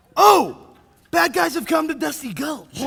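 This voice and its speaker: A man puts on a character voice, extremely high-pitched and drawling. He keeps a moderate pace and a raised, projected voice. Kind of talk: 1930s radio serial acting. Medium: stage play. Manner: folksy drawl, earnest.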